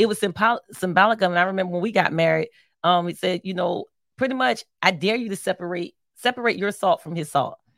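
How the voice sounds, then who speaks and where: A woman's very fast speech with an American accent, ordinary pitch variation and a dry, close sound with no echo. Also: medium pitch for a woman. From Philadelphia, US. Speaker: marriage podcast co-host. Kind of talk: casual chat.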